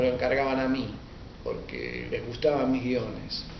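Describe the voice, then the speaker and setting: A man with a Rioplatense accent, amid noticeable background noise and audible room echo. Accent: Rioplatense Spanish (porteño). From Argentina, Buenos Aires. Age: 60s. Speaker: writer and history teacher. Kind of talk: interview. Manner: hesitant, with frequent fillers.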